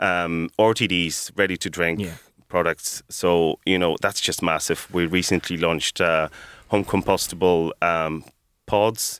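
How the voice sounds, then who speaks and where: Recorded very cleanly against a silent background, a man speaks fairly slowly in a very deep, low, monotone voice with a dry, close sound and no echo. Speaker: coffee roaster and business owner. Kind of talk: radio interview, business chat.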